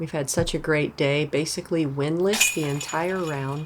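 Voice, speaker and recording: A woman whose pitch is very deep and low talks at a fairly slow pace, with noticeable background noise around her. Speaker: disc golf commentator. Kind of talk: live commentary. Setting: outdoors. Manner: loud, excitable.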